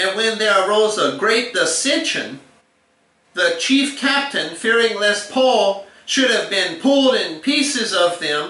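A man's raised, projected voice at a very slow pace, with audible room echo. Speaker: bible teacher. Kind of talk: scripture reading in a lesson.

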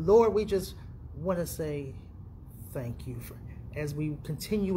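Over light background noise, a man talks at a fairly slow pace with vocal fry and lively intonation. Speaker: preacher. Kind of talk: sermon and prayer. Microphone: phone near.

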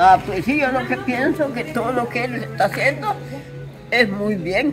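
In a Salvadoran accent, a woman with a fairly high pitch talks at a fairly slow pace with very wide pitch swings over clear music in the background. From El Salvador. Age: 80s+. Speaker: elderly interviewee. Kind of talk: interview answer. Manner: energetic. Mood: animated, grateful. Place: garden. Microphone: phone near.

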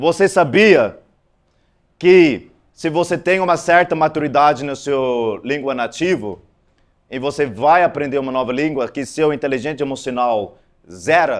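A man speaks fairly high and at a fairly slow pace, with ordinary pitch variation. The background is quiet. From South Africa. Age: 40s. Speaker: conference speaker. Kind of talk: conference talk. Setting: stage with audience. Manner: halting. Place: hall. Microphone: handheld.

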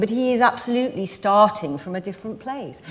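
A woman with lively intonation at a moderate pace. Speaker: actress. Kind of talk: interview answer. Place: stage. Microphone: lapel.

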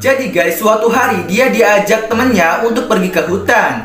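Clear music plays in the background. Room echo is audible. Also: man. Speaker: story narrator content creator. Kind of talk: commentary.

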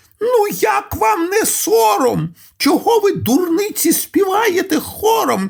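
A man shouting in a put-on character voice, extremely high in pitch, at a fairly slow pace. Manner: shouted, scolding.

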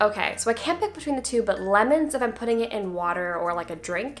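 A woman at a very fast pace, with music in the background. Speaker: actress. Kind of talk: casual Q&A talk to camera. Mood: friendly, animated. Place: home room.

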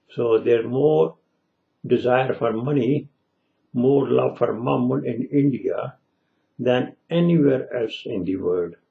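A man at a very slow pace with long, frequent pauses, against a quiet background. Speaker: religious commentator. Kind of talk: religious commentary monologue. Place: home room. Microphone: webcam.

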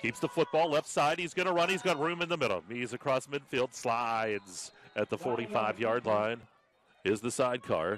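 Lively intonation, a moderate pace and a medium pitch from a man with a normal speaking voice. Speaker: football play-by-play commentator. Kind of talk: live sports commentary on a football game, cut into highlights. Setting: broadcast over game footage.

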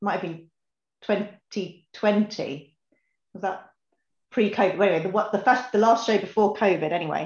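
Somewhat breathy and in fairly even intonation, a woman speaks at a moderate pace with long, frequent pauses, with audible room echo against a quiet background. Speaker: whisky tasting participant. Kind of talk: online tasting session chat. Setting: video call. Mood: relaxed, cheerful. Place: home room. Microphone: webcam.

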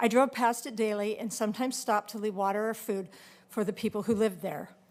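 A woman with an unremarkable speaking voice talks at a fairly high pitch and a fairly quick pace, with fairly even intonation. The recording is very clean with a silent background. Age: 60s. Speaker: public commenter. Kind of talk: public testimony. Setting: public meeting.

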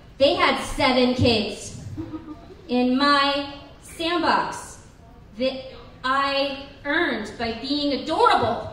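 A woman speaks very slowly in a high voice, leaving long, frequent pauses. Audible room echo and light background noise fill the recording. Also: ordinary pitch variation. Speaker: stand-up comedian. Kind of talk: stand-up comedy routine. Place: bar.

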